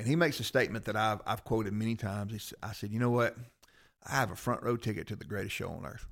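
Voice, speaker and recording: On a very clean recording with a silent background, a man with a Southern US accent talks very fast with big swings in loudness. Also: medium pitch for a man, ordinary pitch variation. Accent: Southern US (Georgia). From US South, Rome, Georgia. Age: 50s. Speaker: former fighter and police officer. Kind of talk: casual chat.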